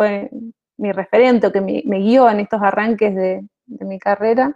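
The woman's pitch sits fairly high. Her intonation stays fairly even. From Argentina, Mendoza (General Alvear), rural. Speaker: IT manager. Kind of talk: interview. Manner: hesitant, repeats words.

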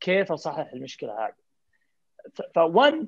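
This man speaks at a high pitch. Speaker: family physician and health informatics leader. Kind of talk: panel discussion.

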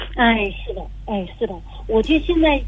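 Noticeable background noise is present throughout. Over it, a woman talks at a moderate pace. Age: 50s. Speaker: caller. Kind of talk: call-in advice. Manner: halting.

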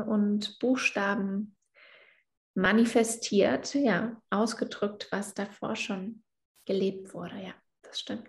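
Her voice is somewhat breathy and medium in pitch as the woman speaks at a very slow pace. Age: 20s. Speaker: yoga teacher. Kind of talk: casual interview.

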